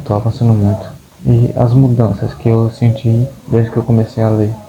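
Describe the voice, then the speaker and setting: Against noticeable background noise, a man of medium pitch speaks at a moderate pace. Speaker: book vlogger. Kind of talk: casual vlog monologue. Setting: at home. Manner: halting, repeats words.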